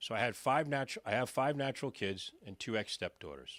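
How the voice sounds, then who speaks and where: Talking at a fairly quick pace, a man with an animated tone and lively intonation is captured in a very clean recording with a silent background and a dry, close sound with no echo. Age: 60s. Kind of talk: speech to live audience.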